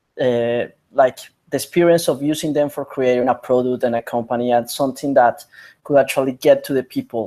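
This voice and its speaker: Speaking at medium pitch, a man has a dark, mellow tone and monotone, flat intonation. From Colombia. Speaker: biotech entrepreneur and scientist. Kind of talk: interview. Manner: halting.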